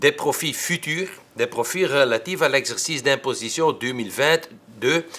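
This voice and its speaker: A man with a Dutch accent and lively intonation at a fairly slow pace. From Flanders, Belgium. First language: Dutch (speaking French). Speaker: tax expert. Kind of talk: lecture. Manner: hesitant, frequent filler sounds.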